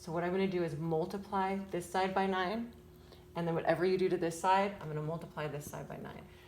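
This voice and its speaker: A woman with a medium-pitched voice speaks amid audible room echo. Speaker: parent tutoring child in math. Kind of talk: homework tutorial. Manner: fast; casual, hesitant with fillers.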